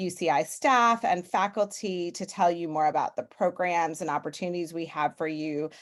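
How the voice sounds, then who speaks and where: The woman has a plain, everyday voice, fairly low in pitch, with ordinary pitch variation. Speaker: graduate school dean. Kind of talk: welcome remarks on webinar. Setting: video call.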